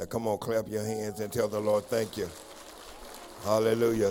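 A man's fairly low voice over noticeable background noise. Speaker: minister leading altar call prayer. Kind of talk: altar call and intercessory prayer. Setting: church service. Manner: fervent, repetitive pleading cadence.

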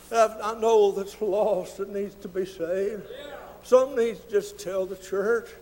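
A man's high-pitched voice with an American accent, fairly slow and fairly even in intonation, with big swings in loudness over noticeable background noise. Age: 60s. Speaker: visiting preacher. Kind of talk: sermon.

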